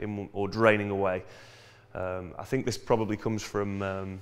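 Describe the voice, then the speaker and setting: Male speaker, moderate pace. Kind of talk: tutorial. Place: workshop. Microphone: phone near.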